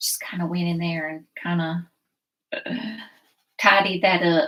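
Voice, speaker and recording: With a Southern US accent, the speaker talks at a fairly slow pace and with fairly even intonation. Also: woman, fairly low pitch for a woman, big swings in loudness. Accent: Southern US (Georgia). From US South, South Georgia. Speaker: painting instructor. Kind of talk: live painting tutorial. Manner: casual, chatty.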